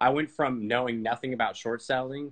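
Against a quiet background, a man with an American accent speaks at a fairly quick pace with fairly even intonation. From Texas, Dallas. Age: 20s. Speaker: student trader; guest. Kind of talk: interview on a livestream. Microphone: video call.

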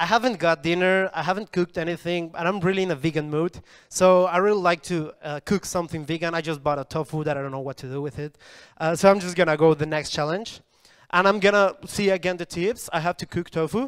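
A man with a Spanish accent talks very fast in a high voice, his pitch moving in an ordinary way against a quiet background. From Colombia. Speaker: coding bootcamp student; presenter. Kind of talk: product demo pitch. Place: hall. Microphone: handheld.

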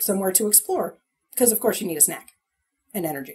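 The voice belongs to a woman and sits at a medium pitch. It has a somewhat breathy quality. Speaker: podcast co-host. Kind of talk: casual chat.

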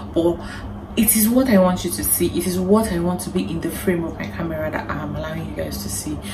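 Amid noticeable background noise, a woman's words come out at a very fast pace. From Nigeria. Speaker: lifestyle vlogger. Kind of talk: advice vlog to camera. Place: home room.

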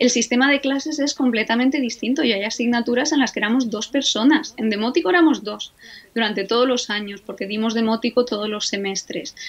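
A woman talks at a fairly quick pace in a fairly high voice with ordinary pitch variation. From Spain, Alicante; Spain. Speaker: Egyptologist, professor; professor. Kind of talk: interview conversation. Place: home room. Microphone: video call.

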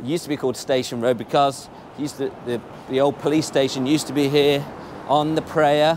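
With little pitch movement and a slightly mellow tone, a man talks at a fairly quick pace. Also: medium pitch for a man.

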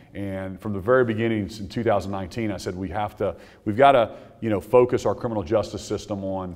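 A man with an unremarkable speaking voice, fairly low pitch, fairly even intonation, and a fairly quick pace. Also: quiet background. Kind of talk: press conference remarks. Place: hall. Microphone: podium.

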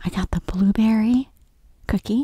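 The tone is dark and mellow. A slightly husky edge comes through. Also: woman, fairly high pitch for a woman, ordinary pitch variation, moderate pace.

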